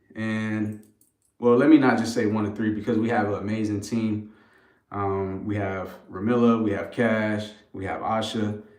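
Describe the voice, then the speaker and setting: A man with an American accent speaks at a moderate pace in a fairly low pitch with monotone, flat intonation. Room echo is audible. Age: 30s. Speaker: brand co-founder. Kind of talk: live stream chat. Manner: casual, filler-heavy.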